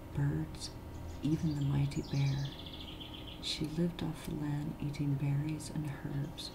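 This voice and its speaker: The speaker is soft-spoken and talks at a fairly slow pace. Noticeable background noise runs underneath. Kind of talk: read story.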